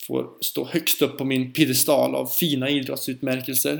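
Slow-ish and fairly high, a man talks at a fairly slow pace. He has a plain, everyday voice. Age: 30s. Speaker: podcast host and teacher. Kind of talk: solo podcast monologue.

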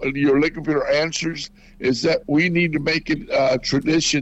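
A man with an American accent speaks in an unremarkable speaking voice, fairly high in pitch, with fairly even intonation at a moderate pace. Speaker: former radio morning show host. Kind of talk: radio interview.

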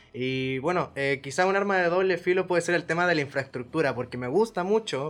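A man in an ordinary speaking voice, fairly quick, with ordinary pitch variation. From Chile, Valparaíso. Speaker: exchange student. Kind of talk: casual chat.

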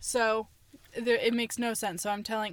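In a plain, everyday voice, a woman talks at a fairly quick pace with a fairly high pitch, on a very clean recording with a silent background. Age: 20s. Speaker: poet and screenwriter. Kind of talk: casual chat.

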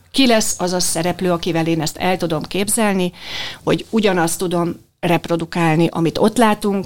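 A woman with a plain, everyday voice and fairly low pitch speaks at a moderate pace with fairly even intonation. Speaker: dubbing director. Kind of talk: interview.

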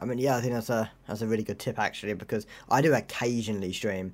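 A man with a normal speaking voice talks fairly quickly at medium pitch, with ordinary pitch variation, in a very clean recording over a silent background. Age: young. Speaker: podcast host. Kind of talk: casual chat.

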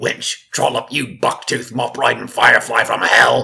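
A put-on character voice, growling and gravelly, at a moderate pace. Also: man, medium pitch for a man.

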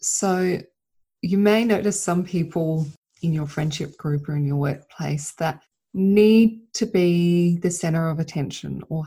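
On a very clean recording with a silent background, a woman speaks at a moderate pace in a fairly low, dark and mellow voice. She is somewhat breathy, with ordinary pitch variation. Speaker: podcast host and mentor for mothers. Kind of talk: solo monologue podcast. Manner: unscripted, loosely rambling.

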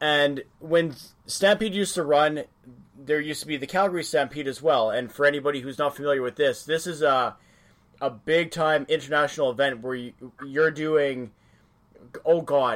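A man's fairly high-pitched, normal speaking voice with a Canadian accent, ordinary pitch variation and a moderate pace. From Western Canada. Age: 30s. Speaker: podcast host. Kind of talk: casual interview chat.

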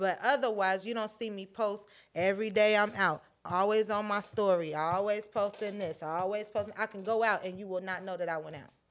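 In a very clean recording with a silent background, a woman with an ordinary speaking voice, medium in pitch, talks at a fairly quick pace with fairly even intonation and big swings in loudness. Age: 20s. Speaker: podcast co-host. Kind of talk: casual chat.

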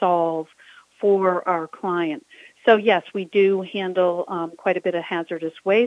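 At a fairly slow pace, a woman with a medium pitch speaks in an ordinary speaking voice. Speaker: business owner, home organizing and downsizing. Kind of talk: casual interview.

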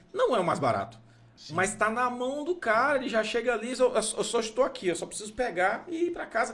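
A man's voice over noticeable background noise. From Goiás, Brazil. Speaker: podcast host. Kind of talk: casual chat.

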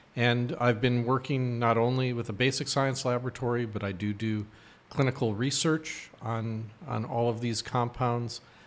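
At a moderate pace, a man talks in an unremarkable speaking voice with medium pitch and fairly even intonation. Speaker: professor and eye researcher. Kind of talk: interview.

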